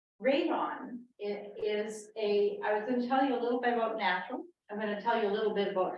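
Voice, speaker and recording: The speaker is a woman. Audible room echo is present. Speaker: panel speaker on health effects of radiation. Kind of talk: public talk. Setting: meeting house with audience. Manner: quiet.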